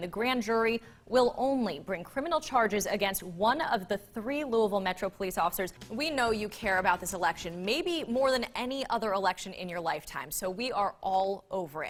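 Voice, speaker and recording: A woman's fairly high, lively voice at a fairly quick pace with hardly any pauses, over music in the background. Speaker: TV news anchor and reporter. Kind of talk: TV news anchoring.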